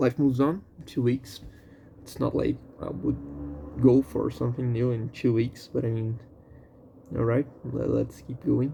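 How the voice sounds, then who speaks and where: A man speaks at a moderate pace with a non-native accent, his medium pitch moving with ordinary variation, broken by long, frequent pauses. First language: not English. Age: 20s. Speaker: vlogger. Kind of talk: personal venting monologue. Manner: halting, with fillers and repetitions.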